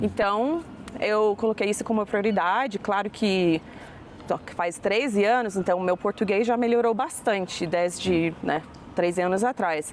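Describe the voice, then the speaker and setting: This woman talks at a fairly slow pace. Her pitch is medium, with ordinary pitch variation. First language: English (speaking Portuguese). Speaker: English teacher. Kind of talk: interview.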